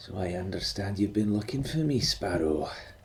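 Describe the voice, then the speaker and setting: A man's soft-spoken, husky put-on character voice, fairly low in pitch, at a moderate pace over clear background noise. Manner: quiet, familiar, knowing.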